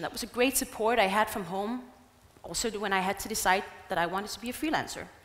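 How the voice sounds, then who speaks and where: A woman with a fairly high pitch and ordinary pitch variation rattles along at a very fast pace while noticeable background noise carries on behind her. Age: 20s. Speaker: travel blogger and motivational speaker. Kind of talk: conference talk. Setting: stage with audience.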